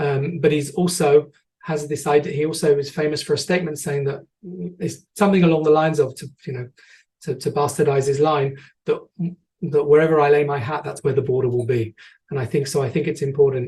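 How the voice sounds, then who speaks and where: Speaking at a fairly quick pace with an English accent, a man uses a fairly high, somewhat breathy voice and fairly even intonation. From England. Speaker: tour guide and educator. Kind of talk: online presentation with audience questions. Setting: online video presentation. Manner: hesitant, many fillers and repetitions.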